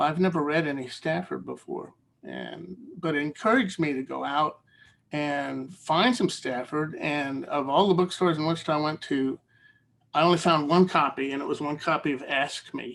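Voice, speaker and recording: A man speaks at a fairly high pitch and a moderate pace. His pitch variation is ordinary. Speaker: poet. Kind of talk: poetry reading event remarks. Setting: video call.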